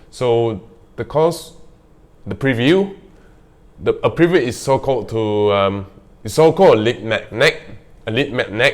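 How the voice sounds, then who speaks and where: The speaker uses lively intonation at a fairly slow pace, with a non-native accent. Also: man. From Malaysia (Kuching). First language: not English. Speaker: real estate vlogger. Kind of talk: casual vlog monologue. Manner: halting, hesitant with fillers.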